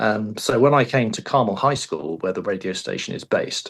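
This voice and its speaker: This man speaks with an English accent and a fairly low pitch. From England. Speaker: high school radio teacher. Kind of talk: interview. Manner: hesitant, many fillers.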